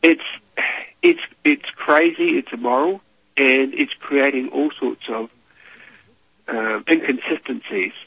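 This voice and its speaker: A man speaks with a New Zealand accent. His pace is fairly slow, with long, frequent pauses. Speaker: monetary reform activist. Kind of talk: radio interview.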